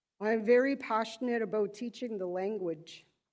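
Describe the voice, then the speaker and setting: A woman's dark, mellow tone at a moderate pace. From Wikwemikong, Manitoulin Island, Ontario (First Nations). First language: Odawa, Potawatomi and Ojibwe. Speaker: language and culture educator. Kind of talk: formal self-introduction, partly in Anishinaabemowin.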